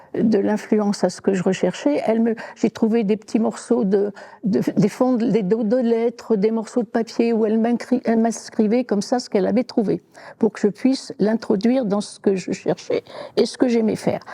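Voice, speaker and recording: Her dark, mellow tone and fairly even intonation come at a moderate pace, as a woman speaks in a dry, close recording with no echo. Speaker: retired secretary, genealogist. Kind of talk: interview testimony. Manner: hesitant, many fillers.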